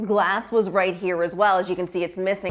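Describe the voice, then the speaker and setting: Through noticeable background noise, a woman speaks at a fairly quick pace with fairly even intonation. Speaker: TV reporter and news anchor. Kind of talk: TV news reporting.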